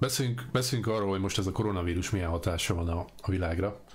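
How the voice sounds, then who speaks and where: A man speaks with a fairly low pitch. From Hungary. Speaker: interviewer. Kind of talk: interview. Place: home room.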